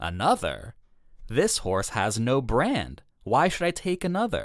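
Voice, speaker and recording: The man adopts a put-on character voice and talks at a fairly slow pace. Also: fairly high pitch for a man, very clean recording, silent background. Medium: read story.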